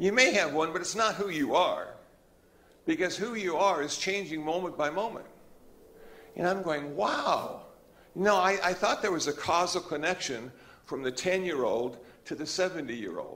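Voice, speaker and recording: Long, frequent pauses break up a man's high-pitched speech, which has a bright, sharp tone and a moderate pace. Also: ordinary pitch variation. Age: 70s. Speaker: Buddhist monk. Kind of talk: Dharma talk. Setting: church hall with audience. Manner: relaxed, conversational.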